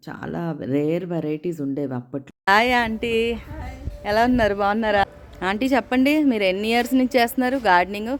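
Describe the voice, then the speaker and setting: Over music in the background, a woman with a medium pitch lets her voice swing very widely up and down. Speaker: home gardener, garden vlogger. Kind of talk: casual vlog narration and interview. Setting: outdoors, garden with background noise.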